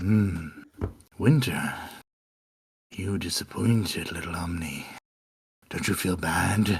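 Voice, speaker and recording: In a put-on character voice, a man speaks very deep and low at a fairly slow pace, with ordinary pitch variation and long, frequent pauses. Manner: mocking.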